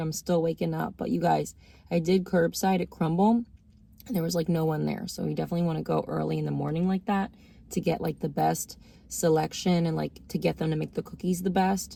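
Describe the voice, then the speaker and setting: Soft-spoken, a woman talks at a fairly quick pace. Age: 30s. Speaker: food reviewer vlogger. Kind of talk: casual taste-test review. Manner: soft-spoken, talking low.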